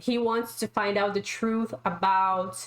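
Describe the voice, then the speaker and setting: With a non-native accent, the speaker talks at a very slow pace and shows ordinary pitch variation. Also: woman. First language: not English. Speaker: YouTube reaction creator ranking shows. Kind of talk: casual chat reviewing TV shows. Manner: animated.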